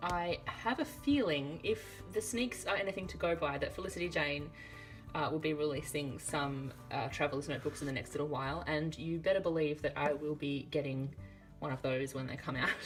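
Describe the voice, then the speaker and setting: Music plays in the background as the speaker talks at a fairly quick pace in a relaxed tone with ordinary pitch variation. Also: woman. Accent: Australian. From Australia. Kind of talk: casual talk to camera. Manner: chatty, relaxed.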